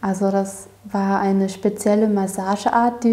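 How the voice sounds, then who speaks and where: At a very slow pace, a woman speaks in a dark, mellow tone that is somewhat breathy. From Erzgebirge, Saxony, Germany. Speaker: apprentice gardener. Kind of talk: casual interview. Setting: tea kitchen of a dairy, interview.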